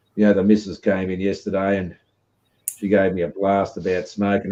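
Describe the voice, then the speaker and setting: A man with an Australian accent talks in a fairly low pitch. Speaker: live stream host. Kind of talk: casual chat. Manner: rambling filler-heavy.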